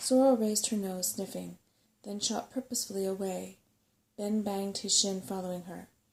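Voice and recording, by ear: With fairly even intonation, someone reads aloud in a natural voice.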